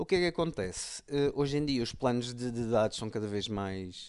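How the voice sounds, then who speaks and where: Medium pitch from a man in an ordinary speaking voice, lively intonation, moderate pace, and a quiet background. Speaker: tech podcast co-host. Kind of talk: casual chat.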